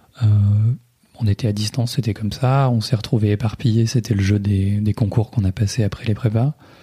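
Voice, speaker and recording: A dark, mellow, somewhat breathy voice at a fairly quick pace, with fairly even intonation. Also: man, fairly low pitch for a man. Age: 20s. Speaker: digital project manager, host's husband. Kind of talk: casual chat. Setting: home living room.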